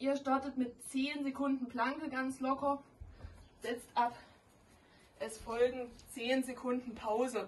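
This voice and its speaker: A woman speaks at a high pitch, monotone and flat in intonation. Her pace is very slow, with light background noise. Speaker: fitness instructor. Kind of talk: workout tutorial. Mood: playful, joking. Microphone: camera far.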